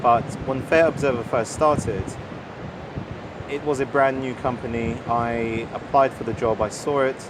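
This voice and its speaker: A man with a British accent and medium pitch talks at a moderate pace, using fairly even intonation and long, frequent pauses. Noticeable background noise runs under his voice. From England. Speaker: journalist and editor. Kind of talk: interview. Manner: hesitant, with fillers.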